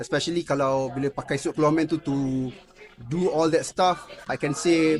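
Against noticeable background noise, a man speaks fairly slowly in a fairly high pitch with ordinary pitch variation. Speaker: actor. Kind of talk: interview. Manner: casual code-switching with fillers.

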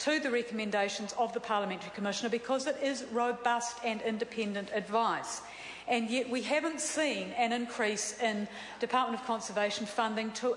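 Over light background noise and with audible room echo, a woman with a high pitch speaks at a moderate pace. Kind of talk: parliamentary speech. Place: hall. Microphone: podium.

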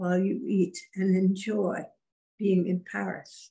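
A somewhat breathy woman's voice, dark and mellow in tone, at a very slow pace over a quiet background. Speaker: spiritual medium channeling a spirit guide. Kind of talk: channeled spiritual guidance session. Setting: video call. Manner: formal. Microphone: webcam.

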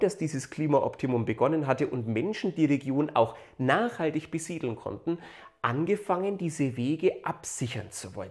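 A man at a moderate pace, lively intonation and big swings in loudness over a quiet background. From Upper Franconia, Germany. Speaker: local history YouTuber. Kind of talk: educational video narration. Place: home room. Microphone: lapel.

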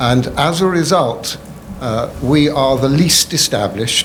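Against noticeable background noise and audible room echo, a man with an English accent speaks with ordinary pitch variation. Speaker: rabbi. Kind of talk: testimony. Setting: public hearing. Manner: formal.

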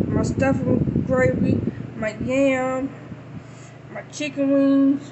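A woman is speaking. Noticeable background noise runs beneath her. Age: 30s. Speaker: YouTuber. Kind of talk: casual talk to camera. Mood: cheerful, festive. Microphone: phone near.

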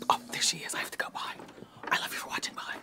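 A woman whispers quietly at a very fast pace. Noticeable background noise runs underneath. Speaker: show host. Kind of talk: casual vlog chat. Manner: hushed secretive whisper close to camera.

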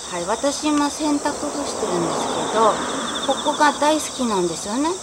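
A woman speaks at a moderate pace. Loud background noise runs underneath. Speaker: housewife. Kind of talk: casual talk to camera. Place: garden. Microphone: phone near.

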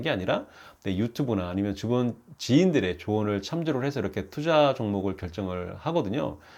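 On a very clean recording with a silent background, a man talks at a moderate pace with lively intonation and a fairly low pitch. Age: 50s. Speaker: YouTuber and habit author. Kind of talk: casual vlog monologue. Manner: hesitant, many fillers.

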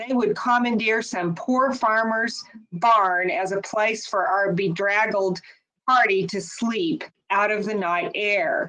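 A woman's bright, sharp voice at a fairly high pitch, fairly slow in pace with ordinary pitch variation. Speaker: author's daughter reading. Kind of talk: memoir reading aloud. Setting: webinar. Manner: measured, earnest narration. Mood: somber, dramatic storytelling. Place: home room. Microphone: video call.

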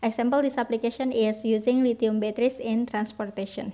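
A woman speaks with an Indonesian accent, her pitch fairly high and her intonation fairly even. The recording is very clean, with a silent background. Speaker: university student. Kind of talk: class presentation. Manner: reading aloud, formal.

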